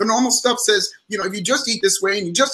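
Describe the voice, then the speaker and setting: Raising and projecting his voice, a man speaks at a high pitch with a bright, sharp tone. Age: 60s. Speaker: psychologist and motivational speaker. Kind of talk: interview on live stream. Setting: live stream call.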